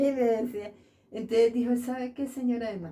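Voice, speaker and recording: A woman speaks in a dark, mellow, somewhat breathy tone. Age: 80s+. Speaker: elderly local resident, seamstress. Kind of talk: interview, personal life story. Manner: halting, many fillers.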